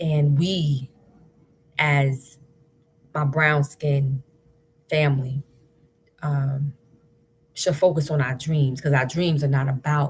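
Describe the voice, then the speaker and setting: Her voice is very deep and low, somewhat breathy, and very even in loudness. The woman talks at a very slow pace with long, frequent pauses. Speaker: spoken word poet. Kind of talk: casual talk to camera on a live stream. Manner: upbeat.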